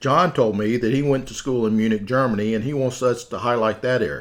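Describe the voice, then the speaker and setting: A man with a Southern US accent, medium in pitch with ordinary pitch variation, against a quiet background. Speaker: podcast host. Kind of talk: scripted podcast narration.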